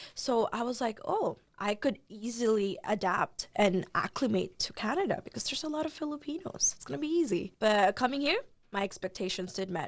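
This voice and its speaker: A woman speaks at a moderate pace in a fairly high voice. Her pitch swings very widely. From Philippines. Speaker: international student, journalist. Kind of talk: casual interview.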